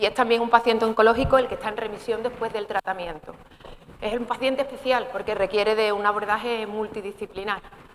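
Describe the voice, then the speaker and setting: Against noticeable background noise, a woman with a fairly high pitch speaks at a fairly quick pace. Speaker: gynecologist giving a talk. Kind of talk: informal medical talk. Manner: fast.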